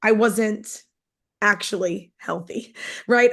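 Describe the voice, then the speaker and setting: Against a quiet background, a woman with a New York accent speaks at a fairly high pitch. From New York, Long Island. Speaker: network marketing distributor. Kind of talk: testimony.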